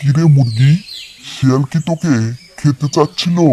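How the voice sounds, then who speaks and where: A cartoonish character voice, low-to-middle in pitch, at a fairly slow pace. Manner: friendly, reassuring.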